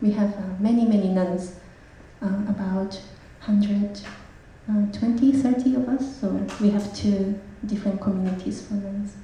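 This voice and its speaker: A woman with a Japanese accent talks at a moderate pace and a medium pitch, her intonation fairly even and broken by long, frequent pauses, with audible room echo and noticeable background noise. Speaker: Buddhist nun. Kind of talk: self-introduction at a public talk.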